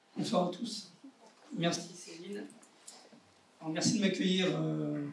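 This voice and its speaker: A man's high-pitched voice, with fairly even intonation, comes through noticeable background noise and audible room echo. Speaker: vascular surgeon. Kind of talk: presentation to medical staff. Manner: hesitant, many fillers.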